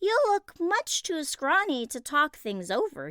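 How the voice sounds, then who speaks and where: Using a squeaky, put-on character voice, a woman speaks at a high pitch and fairly slow pace with very wide pitch swings. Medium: read story. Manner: eager.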